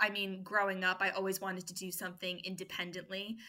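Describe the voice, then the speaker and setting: Her tone is bright and sharp. The woman's pitch sits in the medium range. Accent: New York. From US, New York. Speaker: food business founder and mother. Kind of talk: podcast interview.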